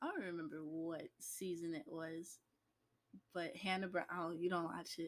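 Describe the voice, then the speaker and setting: A woman with a normal speaking voice talks at a moderate pace and fairly low pitch, with ordinary pitch variation. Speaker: host's daughter, guest. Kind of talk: casual chat.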